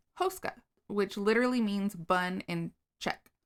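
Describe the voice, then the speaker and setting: A woman with an unremarkable speaking voice talks fairly slowly at medium pitch, showing ordinary pitch variation. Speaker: podcast co-host. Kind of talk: casual storytelling chat.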